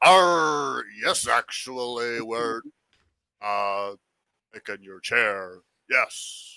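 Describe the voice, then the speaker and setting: Putting on a character voice at a medium pitch, a man talks at a very slow pace with long, frequent pauses. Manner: pirate-like.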